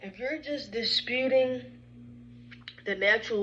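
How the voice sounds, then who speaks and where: Amid noticeable background noise, this woman's pitch varies in an ordinary way. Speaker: credit repair advisor. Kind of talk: informal explainer video.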